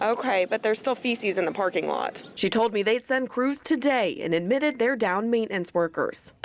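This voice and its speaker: A woman's fairly high voice in an American accent, fairly quick with hardly any pauses, lively in intonation and very even in loudness, over noticeable background noise. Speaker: TV news reporter. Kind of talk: field report voiceover and on-scene questioning.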